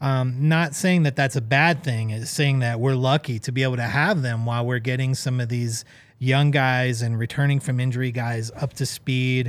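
A man's plain, everyday voice at a medium pitch, with fairly even intonation and a moderate pace. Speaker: soccer podcast co-host. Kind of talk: casual chat.

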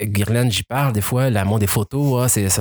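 Ordinary pitch variation marks a man talking at a moderate pace in a very clean recording with a silent background. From Quebec. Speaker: adoptee telling his story. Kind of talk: casual interview. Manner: halting, repeats words.

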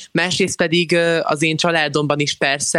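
A man talks very fast in a fairly high pitch. His tone is bright and sharp, his intonation monotone and flat. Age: young. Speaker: YouTuber and student. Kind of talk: casual chat.

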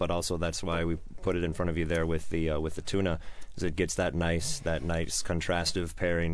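A man with an American accent speaks at a very deep, low pitch with fairly even intonation, against audible room echo. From Colorado. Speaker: bar beverage manager. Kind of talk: casual chat. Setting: studio.

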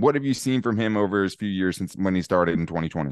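Against a quiet background, a man races along at a very fast pace with lively intonation. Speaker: sports podcast host. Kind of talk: casual sports talk.

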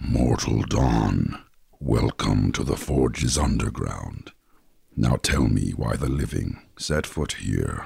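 A man puts on a character voice with a very deep, low pitch. It is raspy and delivered at a fairly slow pace. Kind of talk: formal, archaic.

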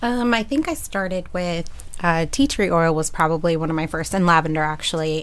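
A woman uses a plain, everyday voice at a fairly low pitch. Her pace is moderate. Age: 30s. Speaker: panelist mom. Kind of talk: casual chat. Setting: studio.

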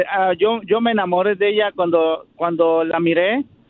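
This man has a high-pitched voice and keeps his intonation fairly even. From Mexico City. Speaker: caller. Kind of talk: phone-in chat.

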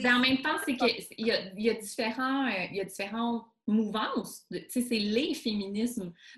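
A woman speaks in an ordinary speaking voice at a fairly slow pace. Her pitch is fairly high, with ordinary variation. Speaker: columnist and documentary host. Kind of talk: casual chat. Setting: video call.

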